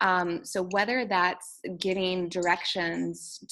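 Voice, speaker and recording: A woman with an American accent speaks in an unremarkable speaking voice. Her pitch is fairly low and her intonation fairly even. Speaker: teacher and author. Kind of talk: interview.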